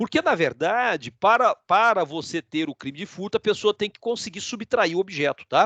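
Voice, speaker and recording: A man's high-pitched, bright, sharp voice with lively intonation and big swings in loudness, at a moderate pace with hardly any pauses, dry and close with no echo over a quiet background. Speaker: law lecturer. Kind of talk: live online lecture. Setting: live video stream.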